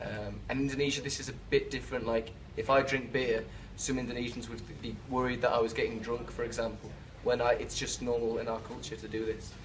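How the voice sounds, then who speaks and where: A man with a Liverpool accent talks at a fairly quick pace and a medium pitch, in a flat monotone. There is noticeable background noise and audible room echo. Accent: Liverpool-area English (Scouse). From England, Birkenhead (Merseyside). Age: 30s. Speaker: expat interviewee. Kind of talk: interview answers. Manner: hesitant, many fillers.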